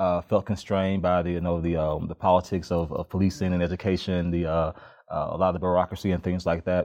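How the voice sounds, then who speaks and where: A man's very deep, low voice in a Memphis accent, very fast and monotone, against a quiet background. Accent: Southern US (Memphis) English. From Memphis, Tennessee, US South. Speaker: criminal justice PhD candidate, former police officer. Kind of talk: interview conversation. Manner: frequent hesitations and fillers.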